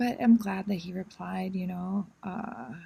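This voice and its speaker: A woman speaks very slowly in a somewhat breathy, medium-pitched voice with ordinary pitch variation. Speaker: vlogger. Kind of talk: casual monologue. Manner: hesitant, many fillers.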